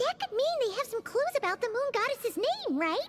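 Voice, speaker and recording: A squeaky, put-on character voice at an extremely high pitch comes through with clear background noise. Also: moderate pace. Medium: video game. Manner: animated, exclamatory.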